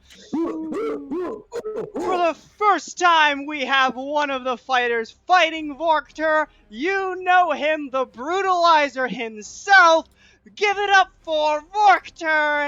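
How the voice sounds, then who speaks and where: A put-on character voice shouts in a high pitch at a very slow pace. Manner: shouting, hyping the crowd.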